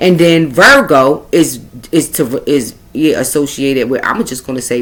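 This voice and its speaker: This voice carries a Brooklyn accent and vocal fry. Its pitch swings very widely. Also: woman. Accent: New York (Brooklyn). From Brooklyn, New York. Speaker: astrology and spiritual reader. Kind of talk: astrology reading monologue. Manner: halting, tongue-tied.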